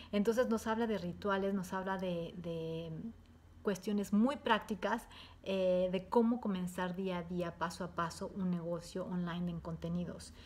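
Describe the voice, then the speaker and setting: Somewhat breathy, a woman talks at a fairly slow pace with fairly even intonation. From Mexico. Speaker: entrepreneur giving a course testimonial. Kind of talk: testimony. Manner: hesitant, many fillers. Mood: warm, positive. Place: home room. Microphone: webcam.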